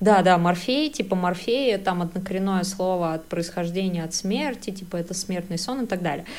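In a plain, everyday voice, a woman talks at a moderate pace and medium pitch with ordinary pitch variation and hardly any pauses. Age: 30s. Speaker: podcast co-host, advertising professional. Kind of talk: casual chat.

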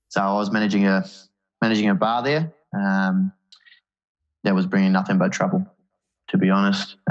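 The speaker, with a New Zealand accent, talks at a fairly quick pace with very even loudness and long, frequent pauses. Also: man. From New Zealand, Auckland. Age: 30s. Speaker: men's mental health advocate. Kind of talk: casual interview.

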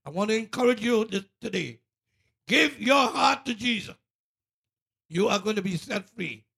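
The voice is raised and projected, with a bright, sharp tone and long, frequent pauses. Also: man, high pitch for a man, ordinary pitch variation, moderate pace. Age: 70s. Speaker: radio co-host. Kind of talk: casual chat.

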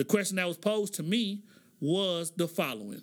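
On a very clean recording with a silent background, a man speaks with an American accent in a high pitch. His tone is animated, with ordinary pitch variation and a moderate pace. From Oklahoma, US. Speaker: podcast host. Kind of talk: solo commentary podcast.

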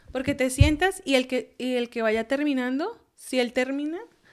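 At a moderate pace, a woman speaks in a high pitch with ordinary pitch variation. The recording is very clean, with a silent background. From Colombia. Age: 30s. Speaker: US Air Force officer. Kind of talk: casual interview.

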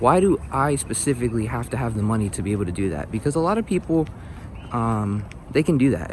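An American-accented man at medium pitch, fairly quick in pace, with lively intonation. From North Philadelphia, US. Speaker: motivational vlogger. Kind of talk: casual vlog monologue. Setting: outdoors, walking to bus stop.

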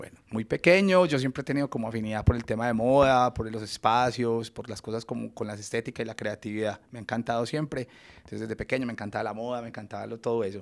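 A man at a very fast pace with hardly any pauses, medium pitch, ordinary pitch variation and big swings in loudness. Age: 30s. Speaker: fashion and interior design entrepreneur. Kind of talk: interview conversation.

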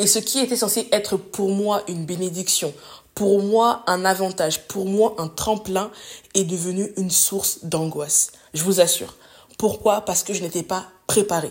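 A woman speaks at a medium pitch and a fairly slow pace, her intonation fairly even. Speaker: podcast host. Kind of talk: solo motivational monologue. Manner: spontaneous, unscripted.

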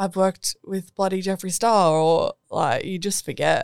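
Recorded in a dry, close sound with no echo, a woman with an Australian accent talks at medium pitch with ordinary pitch variation. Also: very clean recording, silent background. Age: 20s. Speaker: DJ and singer-songwriter. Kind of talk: casual chat. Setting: studio.

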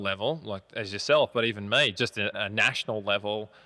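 A man with an Australian accent speaks with ordinary pitch variation. The recording is very clean with a silent background, and the sound is dry and close with no echo. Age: 30s. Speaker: coffee company founder and CEO. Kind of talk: casual interview.

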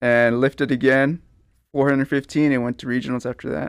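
This man speaks at a moderate pace in a medium pitch with an American accent, recorded dry and close with no echo against a silent, very clean background. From Pleasanton, South Texas. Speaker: entrepreneur. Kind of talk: casual interview.

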